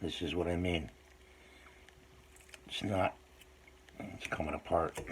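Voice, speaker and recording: Someone soft-spoken talks at a fairly slow pace with fairly even intonation amid noticeable background noise. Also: man, very deep, low pitch for a man. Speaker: hobby modeler making DIY tutorial videos. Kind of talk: tutorial.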